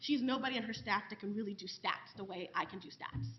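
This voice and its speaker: A woman with a New York accent talking at a very fast pace over music in the background. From New York City. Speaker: professor. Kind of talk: panel discussion.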